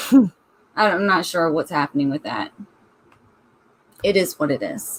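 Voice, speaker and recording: A woman talks at a fairly slow pace with very wide pitch swings. The sound is dry and close, with no echo. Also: medium pitch for a woman. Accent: Southern US. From US South. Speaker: book club host. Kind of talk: casual chat. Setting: live stream.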